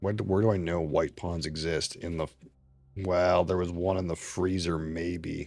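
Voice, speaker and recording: Music plays behind a man speaking at a moderate pace. His pitch is very deep and low, and his intonation is flat and monotone. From Canada. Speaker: streamer. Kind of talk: live gameplay commentary. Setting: live stream. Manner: mumbling.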